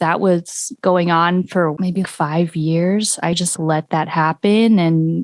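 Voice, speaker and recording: A woman's fairly low voice at a very slow pace with hardly any pauses, fairly even intonation and very even loudness, in a very clean recording with a silent background and a dry, close sound with no echo. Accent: Californian. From US West Coast, southern Orange County, California. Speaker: singer-songwriter. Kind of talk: podcast interview.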